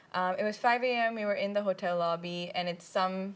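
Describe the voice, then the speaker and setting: Speaking with an Indian accent, a woman keeps a fairly quick pace and fairly even intonation on a very clean recording with a silent background. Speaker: student a cappella group president. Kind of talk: interview. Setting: studio.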